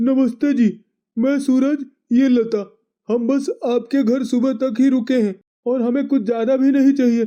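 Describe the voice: A man does a cartoonish character voice at an extremely high pitch, delivered in a flat monotone at a moderate pace.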